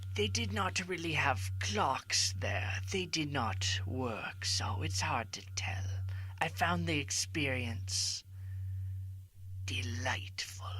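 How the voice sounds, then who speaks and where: A man's put-on character voice, very deep and low in pitch, at a very slow pace over noticeable background noise. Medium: audio drama. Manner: calm, measured, counselor-like.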